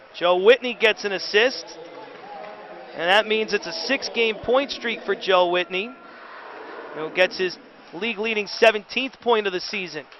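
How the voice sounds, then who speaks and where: Noticeable background noise and long, frequent pauses from a man with a high pitch, ordinary pitch variation and a moderate pace. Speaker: hockey radio play-by-play announcer. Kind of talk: live sports radio play-by-play call. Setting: radio broadcast of a professional hockey game.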